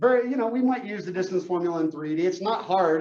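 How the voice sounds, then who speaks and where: A man talks with a high pitch. He shows ordinary pitch variation. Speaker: math teacher. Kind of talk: lecture.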